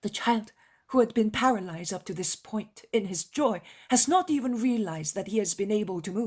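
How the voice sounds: Heard here is a natural reading voice. Ordinary pitch variation runs through it.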